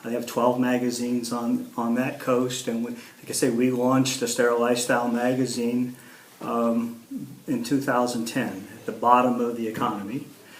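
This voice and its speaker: Amid noticeable background noise and audible room echo, a man speaks at medium pitch and a moderate pace in a flat monotone. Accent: American. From Ohio, US Midwest. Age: 60s. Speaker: local council candidate, magazine publisher. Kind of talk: editorial board interview. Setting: interview with editorial board. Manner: halting, many fillers and repeats.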